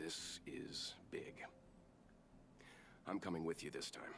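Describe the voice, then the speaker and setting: Whispering in a raspy put-on character voice, a man talks at a fairly slow pace. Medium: virtual streamer. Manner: measured, formal.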